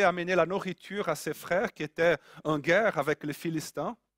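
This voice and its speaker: At a moderate pace, the speaker talks with a Brazilian accent on a very clean recording with a silent background and a dry, close sound with no echo. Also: man. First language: Portuguese (speaking French). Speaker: preacher. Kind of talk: sermon.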